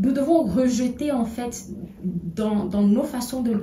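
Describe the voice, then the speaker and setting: Over audible room echo, the speech moves at a very slow pace with ordinary pitch variation. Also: woman. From Togo. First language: an African language (not French) (speaking French). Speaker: political commentator. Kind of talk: video monologue. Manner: halting, many hesitations.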